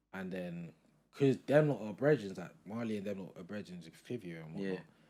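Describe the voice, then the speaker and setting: A man with a very deep, low voice and a dark, mellow tone speaks at a fairly quick pace, with ordinary pitch variation and big swings in loudness. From London. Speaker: music producer. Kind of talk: casual interview chat.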